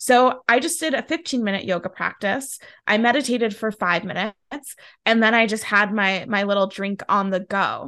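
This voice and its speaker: A normal speaking voice at a fairly quick pace, ordinary pitch variation, quiet background. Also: woman. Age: 30s. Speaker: self-care and personal development coach, author. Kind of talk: interview conversation.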